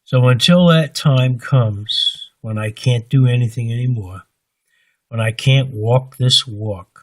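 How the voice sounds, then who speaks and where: Somewhat breathy, a man's voice moves along at a fairly slow pace. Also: medium pitch for a man, ordinary pitch variation. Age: 70s. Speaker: religious vlogger. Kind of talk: personal monologue. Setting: recording alone at home late at night. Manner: halting.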